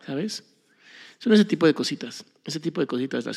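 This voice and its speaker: A man speaks at a fairly quick pace with a Mexican accent. The recording is very clean, with a silent background. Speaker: podcast host. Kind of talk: casual monologue.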